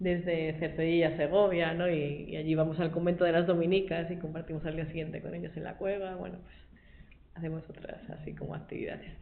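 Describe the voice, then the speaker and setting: Fairly low in pitch with monotone, flat intonation, a woman speaks at a fairly quick pace with big swings in loudness. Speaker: lay Dominican, school worker. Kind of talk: testimony talk to a group. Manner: fast.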